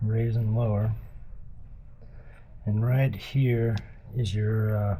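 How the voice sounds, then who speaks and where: A man's somewhat breathy, monotone voice with flat intonation at a very slow pace, with audible room echo. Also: medium pitch for a man. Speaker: DIY motorcycle mechanic. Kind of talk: tutorial. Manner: casual, halting.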